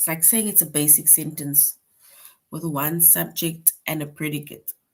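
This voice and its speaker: A woman's somewhat breathy, very deep and low voice, fairly even in intonation, moderate in pace, with big swings in loudness. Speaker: teacher. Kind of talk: online class lecture.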